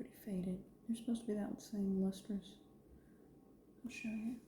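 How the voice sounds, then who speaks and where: A soft-spoken woman's relaxed tone, fairly high in pitch, at a moderate pace with long, frequent pauses, fairly even intonation and big swings in loudness. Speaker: ceramic artist. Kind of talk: soft-spoken ASMR studio routine, talking to camera. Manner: soft-spoken, quiet, relaxed.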